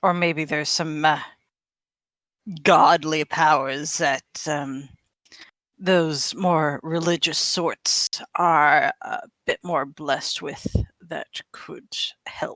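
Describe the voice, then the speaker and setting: A put-on character voice from a woman, very deep and low in pitch, delivered at a very slow pace with long, frequent pauses. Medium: actual play. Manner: hesitant, filler-heavy.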